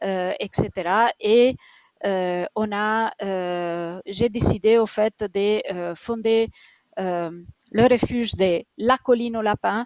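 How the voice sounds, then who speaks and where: Very slow speech with an Italian accent and fairly even intonation comes through in a dry, close sound with no echo. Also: woman, fairly high pitch for a woman. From Italy. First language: Italian (speaking French). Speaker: rabbit shelter founder. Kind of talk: interview on a live stream. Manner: halting, many fillers.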